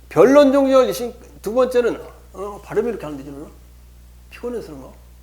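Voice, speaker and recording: A high-pitched man at a fairly quick pace, lively in intonation, with audible room echo. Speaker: law lecturer. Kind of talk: lecture. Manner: halting, many repetitions and fillers.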